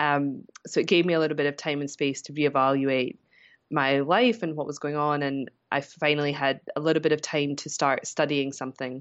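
Using a very deep, low pitch, a woman speaks fairly quickly with a Scottish accent and fairly even intonation. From Scotland. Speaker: business mentor. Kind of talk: casual interview chat.

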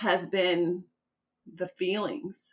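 In an ordinary speaking voice, a woman with an American accent talks at a medium pitch with ordinary pitch variation. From US Midwest. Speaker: podcast host. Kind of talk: casual interview.

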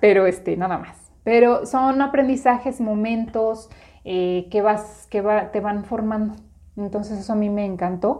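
A woman with a plain, everyday voice speaks at a fairly slow pace, her fairly high pitch kept to fairly even intonation. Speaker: podcast co-host, business coach. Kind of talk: casual chat.

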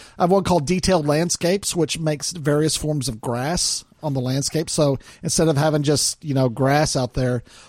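A man with an American accent uses an ordinary speaking voice with ordinary pitch variation. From US South. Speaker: podcast host. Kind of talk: casual chat.

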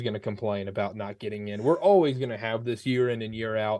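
In a quiet background, a plain, everyday voice moves at a fairly quick pace with ordinary pitch variation. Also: man. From North Carolina. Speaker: sports podcaster. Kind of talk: interview.

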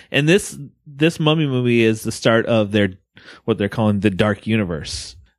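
A plain, everyday voice at a moderate pace, with lively intonation and a very clean recording over a silent background. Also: man, medium pitch for a man. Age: 40s. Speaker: film podcast co-host. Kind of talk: casual chat.

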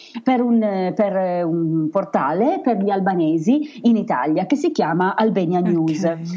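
A woman speaks over noticeable background noise. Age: 40s. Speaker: travel blogger and former teacher. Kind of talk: interview.

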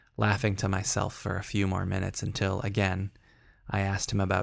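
Text is read out. The reading voice is natural.

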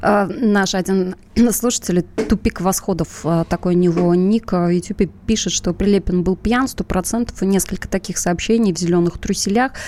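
Speaking at a moderate pace with a plain, everyday voice, a woman keeps a medium pitch, fairly even intonation and very even loudness. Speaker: radio show co-host. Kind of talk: live talk show, political discussion.

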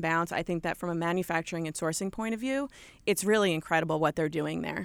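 A woman speaks with a strong New York accent at a fairly low pitch. The recording is very clean, with a silent background. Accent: thick New York. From Long Island, New York. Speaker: apparel company merchandising director. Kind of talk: radio interview.

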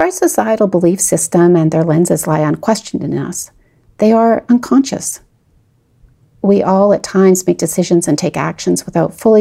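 A woman's fairly low, dark, mellow voice with vocal fry, lively intonation, a moderate pace and a Canadian accent. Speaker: podcast host. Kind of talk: scripted narration.

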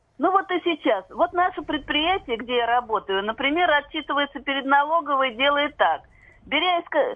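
A woman's high voice carries lively intonation as she keeps a moderate pace. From Moscow region, Russia. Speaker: factory employee caller. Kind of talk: radio call-in. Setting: phone call.

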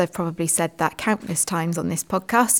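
A woman's medium-pitched voice in a British accent on a very clean recording with a silent background. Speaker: teacher and education podcast host. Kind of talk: casual chat.

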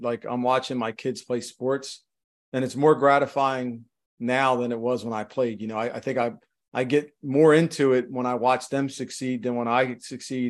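A man at a medium pitch, talking at a moderate pace. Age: 50s. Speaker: author and real estate leader, former police officer. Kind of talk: interview. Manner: halting.

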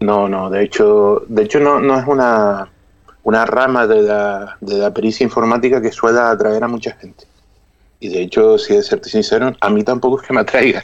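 With a normal speaking voice at medium pitch, the man keeps a moderate pace and fairly even intonation. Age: 30s. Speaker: cyber-harassment expert and teacher. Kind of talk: interview.

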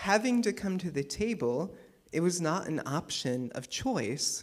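This man's pitch is high, swinging very widely. He talks at a very slow pace. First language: English (speaking German). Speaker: preacher. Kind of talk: sermon.

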